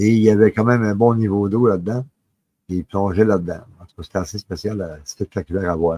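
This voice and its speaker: In a Quebec accent, a man speaks fairly slowly at a fairly low pitch with ordinary pitch variation, the sound dry and close with no echo. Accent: Québécois French. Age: 60s. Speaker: paranormal storyteller. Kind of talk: personal testimony. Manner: halting, many filler words.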